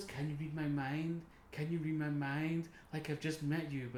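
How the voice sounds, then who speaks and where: A breathy, put-on character voice with monotone, flat intonation at a moderate pace, over clear background noise. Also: man, fairly high pitch for a man. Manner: dreamy, airy.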